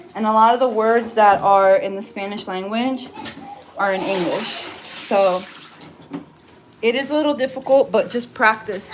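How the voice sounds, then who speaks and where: Against noticeable background noise, a woman speaks at a fairly slow pace with a fairly high pitch and ordinary pitch variation. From New Jersey, US. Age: 30s. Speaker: cleaning business owner. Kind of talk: casual live stream chat while cleaning. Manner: chatty, conversational.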